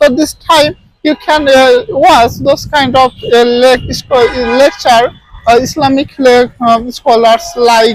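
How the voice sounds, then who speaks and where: Speaking in a Bengali accent at a very slow pace, the voice keeps fairly even intonation and very even loudness. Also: man. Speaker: English teacher. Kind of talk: tutorial. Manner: halting, many fillers.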